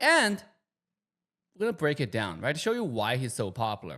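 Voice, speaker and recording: A man with a Chinese accent talks very fast at a fairly high pitch, on a very clean recording with a silent background. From China. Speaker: YouTube commentator. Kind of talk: casual vlog commentary.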